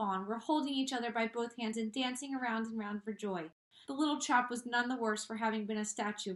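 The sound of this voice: Reading done in an unforced voice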